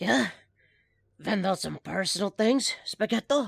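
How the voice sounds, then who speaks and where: In a very clean recording with a silent background, a man puts on a raspy, high-pitched character voice. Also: fairly slow pace. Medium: audio drama. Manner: sarcastic, defiant.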